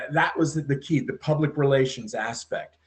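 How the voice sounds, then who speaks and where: With a fairly high pitch and a somewhat breathy quality, the man talks at a moderate pace with fairly even intonation. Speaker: podcast guest. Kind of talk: interview answer.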